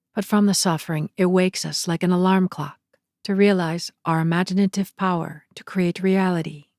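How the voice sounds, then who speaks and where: In a very clean recording with a silent background and a dry, close sound with no echo, a woman speaks at a moderate pace in a flat monotone, her loudness swinging widely. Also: medium pitch for a woman. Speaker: narrator. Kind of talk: spiritual lecture reading with commentary.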